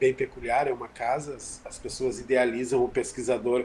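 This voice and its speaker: With a strong gaúcho accent, a man speaks at medium pitch in fairly even intonation. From southern Brazil, Rio Grande do Sul. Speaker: physics professor. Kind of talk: interview. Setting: video call from home kitchen.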